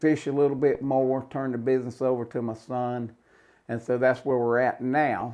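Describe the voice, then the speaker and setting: A man with a North Carolina accent and monotone, flat intonation. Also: medium pitch for a man, moderate pace. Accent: Southern US, North Carolina. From North Carolina, Cabarrus County. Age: 70s. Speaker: retired home builder and tournament angler. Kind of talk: casual interview.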